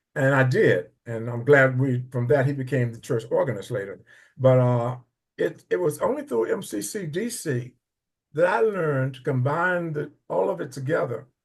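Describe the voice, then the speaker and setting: Speaking at a moderate pace, a man with a fairly high pitch and a somewhat breathy voice uses lively intonation, and his loudness swings widely. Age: 80s+. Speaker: church member. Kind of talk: testimony. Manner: halting.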